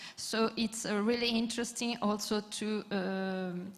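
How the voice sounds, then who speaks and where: Noticeable background noise sits under a woman's voice. She speaks fairly slowly in a monotone with flat intonation. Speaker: panelist, craft network representative. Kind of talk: conference panel talk. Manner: halting, many fillers.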